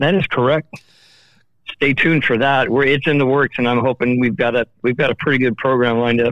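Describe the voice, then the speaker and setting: An unremarkable speaking voice from a man, medium in pitch, at a fairly quick pace with very even loudness and fairly even intonation. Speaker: festival stage manager. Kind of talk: casual phone chat. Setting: phone call.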